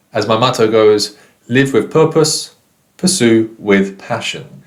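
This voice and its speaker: A man speaks very slowly with a British accent. His pitch is medium, with ordinary pitch variation. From Britain. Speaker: English teacher. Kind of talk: online lesson. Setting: recorded course video.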